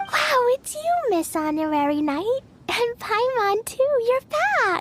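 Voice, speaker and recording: Using a put-on character voice, a woman speaks at an extremely high pitch and a fairly slow pace, with very wide pitch swings. Her loudness stays very even, and the sound is dry and close with no echo. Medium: video game.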